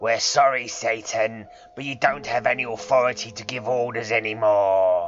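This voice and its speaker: A man puts on a character voice, talking at a medium pitch and a moderate pace. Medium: read story.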